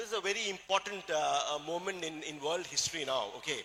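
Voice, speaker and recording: Over noticeable background noise, a man talks at a fairly quick pace, his pitch high with ordinary variation. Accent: Keralan. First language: Malayalam. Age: 60s. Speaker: plastic surgeon and supplement distributor. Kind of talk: motivational talk.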